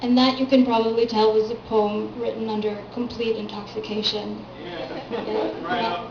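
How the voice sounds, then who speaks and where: The delivery is fairly slow and flat, with a monotone intonation. Noticeable background noise runs underneath. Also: woman. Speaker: poet. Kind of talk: casual talk to audience between poems. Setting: live venue with audience.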